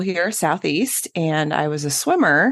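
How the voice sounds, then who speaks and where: A woman with a Midwestern US accent speaks over a quiet background. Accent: US Midwest. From Kansas, Wichita. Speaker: podcast co-host, pelvic health physical therapist. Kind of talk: casual interview chat.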